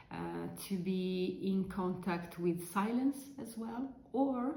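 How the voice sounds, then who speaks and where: A woman at medium pitch in an Italian accent, very slow pace, with noticeable background noise and audible room echo. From Italy. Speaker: crafting vlogger. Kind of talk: casual chat. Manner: halting, many fillers.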